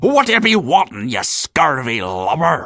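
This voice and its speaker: Putting on a growling character voice, a man speaks at a fairly high pitch and a moderate pace with very wide pitch swings. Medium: video game. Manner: gruff, taunting.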